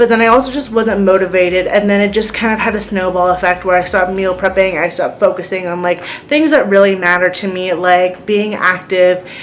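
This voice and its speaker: A woman at medium pitch speaks with ordinary pitch variation amid noticeable background noise. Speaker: vlogger sharing chronic illness experience. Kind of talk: casual vlog monologue. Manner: fast; hesitant with many fillers.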